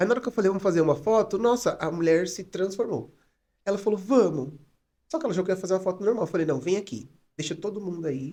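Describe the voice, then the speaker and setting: A man talks very fast. His voice is high in pitch with a dark, mellow tone. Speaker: psychologist and photographer. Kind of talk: podcast interview. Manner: soft-spoken; calm.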